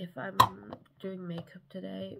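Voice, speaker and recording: Very slow speech comes through loud background noise. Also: woman. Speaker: vlogger. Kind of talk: casual vlog chat. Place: home room. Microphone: phone near.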